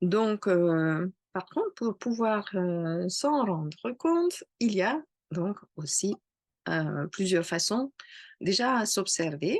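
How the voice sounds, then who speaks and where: Speaking at a very slow pace with a slight non-native accent, a woman uses medium pitch and lively intonation in a dry, close sound with no echo and a quiet background. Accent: slight foreign accent in French. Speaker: astrologer. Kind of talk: casual talk to camera. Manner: hesitant, many fillers.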